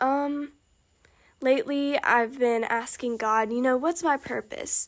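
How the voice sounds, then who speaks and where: Here a woman talks at a very slow pace. She has a high pitch and an American accent. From Alabama. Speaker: podcast host. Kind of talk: personal testimony. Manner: casual, halting.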